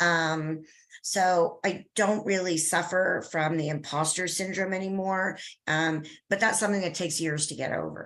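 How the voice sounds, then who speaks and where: A woman with an unremarkable speaking voice talks at a moderate pace, using a fairly low pitch and fairly even intonation. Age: 60s. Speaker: business consultant. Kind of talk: interview.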